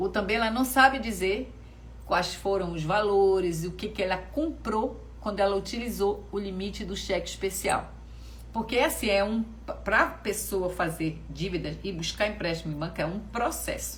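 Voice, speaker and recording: A woman keeps a moderate pace while noticeable background noise and audible room echo fill the recording. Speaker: financial educator. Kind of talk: online class livestream. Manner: casual, conversational.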